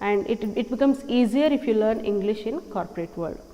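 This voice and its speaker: Over noticeable background noise, a speaker with a non-native accent talks at a moderate pace with ordinary pitch variation. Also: woman. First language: not English. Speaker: English teacher. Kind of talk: tutorial.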